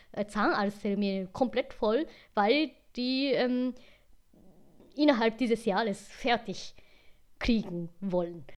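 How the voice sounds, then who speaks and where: Speaking in a Franconian accent, a woman with a fairly high pitch and ordinary pitch variation moves at a very slow pace with long, frequent pauses. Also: quiet background. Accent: Franconian-tinged German. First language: Japanese (speaking German). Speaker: podcast co-host. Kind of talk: casual chat. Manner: halting, non-native phrasing.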